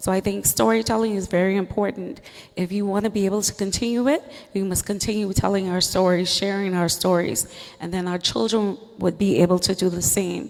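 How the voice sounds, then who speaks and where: A woman with a Turks and Caicos accent speaks at a fairly quick pace. Noticeable background noise is present. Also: medium pitch for a woman, ordinary pitch variation. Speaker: teacher. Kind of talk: panel discussion.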